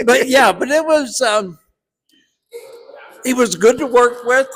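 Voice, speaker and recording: Here a man is talking. His pace is fairly slow. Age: 70s. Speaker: actor. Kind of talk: casual interview at movie premiere. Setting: movie premiere at a cinema.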